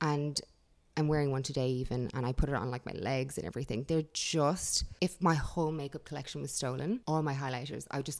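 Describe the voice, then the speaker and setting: A woman with an Irish accent and an animated tone races along at a very fast pace in a very deep, low pitch, on a very clean recording with a silent background. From Ireland (Dublin, then countryside). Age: 30s. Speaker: beauty YouTuber. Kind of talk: casual interview. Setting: studio.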